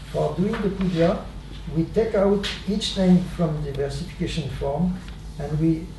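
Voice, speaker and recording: A man with a high pitch speaks at a moderate pace, with audible room echo and noticeable background noise. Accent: non-native. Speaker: swami, spiritual teacher. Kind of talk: spiritual talk, storytelling. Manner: halting, many fillers.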